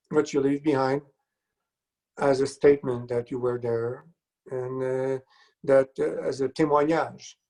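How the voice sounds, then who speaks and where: With a Quebec accent, a man talks at a moderate pace. His tone is dark and mellow, and his pitch is fairly high. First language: French. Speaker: composer. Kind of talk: casual interview.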